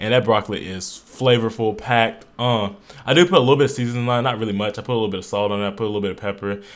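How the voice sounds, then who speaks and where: A man talks at a very fast pace in an animated tone. His pitch is medium, with ordinary variation. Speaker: fitness vlogger. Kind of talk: voiceover narration. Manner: casual, animated.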